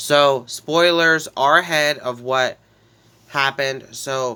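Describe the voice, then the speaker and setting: Fairly high male voice, bright and sharp in tone, with fairly even intonation. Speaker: gaming YouTuber. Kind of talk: game commentary recap. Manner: casual, halting.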